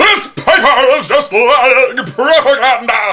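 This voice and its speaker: In a put-on character voice, a man speaks at an extremely high pitch and a fairly slow pace, with a raised, projected voice. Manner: indignant, shouting.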